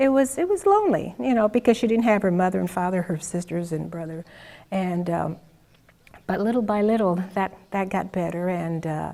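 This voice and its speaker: At a moderate pace, a woman talks in a medium-pitched voice with a dark, mellow tone and ordinary pitch variation. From Sicily, Italy. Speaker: immigrant. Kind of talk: interview answer.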